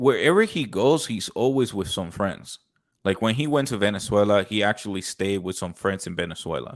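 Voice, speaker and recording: With an American accent and lively intonation, a man talks at a fairly quick pace in a normal speaking voice with a fairly low pitch, captured in a very clean recording with a silent background. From Colombia. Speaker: podcast host. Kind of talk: casual chat.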